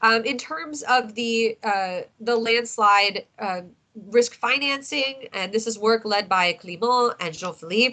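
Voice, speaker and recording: Fairly high-pitched woman's voice, bright and sharp in tone, with ordinary pitch variation. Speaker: scientist presenting research. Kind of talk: online meeting presentation. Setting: video call. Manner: fast; halting, many fillers.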